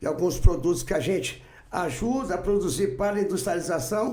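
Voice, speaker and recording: A man speaks with a high pitch and a dark, mellow tone. His intonation is lively, and audible room echo surrounds him. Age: 60s. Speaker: farmer, businessman and political candidate. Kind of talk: podcast interview.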